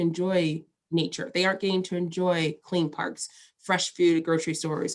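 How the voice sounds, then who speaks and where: A woman speaks with an American accent. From St. Louis area, Missouri. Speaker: environmental justice attorney. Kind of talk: interview. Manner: fast.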